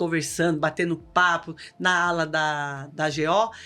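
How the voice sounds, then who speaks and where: This woman's voice sits at a fairly low pitch. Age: 60s. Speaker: local political women's group leader, cancer survivor. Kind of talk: podcast interview, casual chat. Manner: animated.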